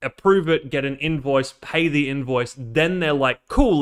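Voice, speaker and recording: A man's fairly high voice with ordinary pitch variation, on a very clean recording with a silent background. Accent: Australian. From Australia. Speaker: robot builder and streamer. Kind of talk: casual live build stream. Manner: casual, filler-heavy.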